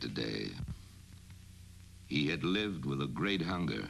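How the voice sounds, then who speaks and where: Resonant and very deep, a man's low voice carries vocal fry. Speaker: narrator. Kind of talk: documentary narration. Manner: authoritative.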